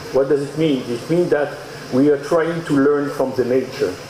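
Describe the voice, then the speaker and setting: Fairly high-pitched man with a French accent, noticeable background noise and audible room echo. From Mauritius, grew up in France. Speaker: AI researcher and speaker. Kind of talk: conference talk.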